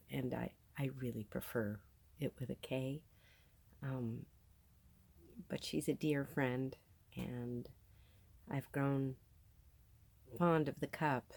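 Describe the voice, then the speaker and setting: A woman with an American accent speaks at a very deep, low pitch and a very slow pace, with long, frequent pauses. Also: ordinary pitch variation. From New Jersey, US. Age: 50s. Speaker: video podcaster. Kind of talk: casual monologue. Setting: on a sailboat in a marina.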